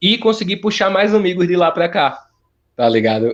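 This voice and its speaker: A man talks with a northeastern Brazilian accent. The background is quiet. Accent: northeastern Brazilian, kept. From Olinda, Pernambuco, Brazil. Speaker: musician and TV presenter. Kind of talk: interview. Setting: phone call. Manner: casual, halting. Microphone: phone line trouble.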